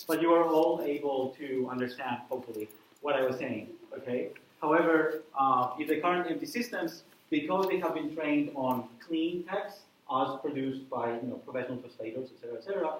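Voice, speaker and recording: Amid noticeable background noise and audible room echo, a man with a non-native accent talks at a fairly quick pace. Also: fairly high pitch for a man, ordinary pitch variation. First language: not English. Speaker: university lecturer, researcher. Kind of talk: lecture. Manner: hesitant, many fillers.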